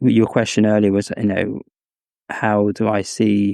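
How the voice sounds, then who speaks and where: In an English accent, a man speaks at a fairly slow pace with a fairly low pitch and a dark, mellow tone, the sound dry and close with no echo. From England (Cambridge). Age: 30s. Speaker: scholar. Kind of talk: interview conversation. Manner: halting, many fillers.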